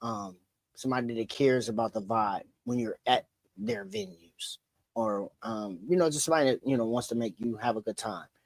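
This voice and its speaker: With an ordinary speaking voice and an American accent, a man talks at a fairly quick pace and medium pitch with ordinary pitch variation, in a dry, close sound with no echo. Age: 40s. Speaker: DJ. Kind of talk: podcast interview.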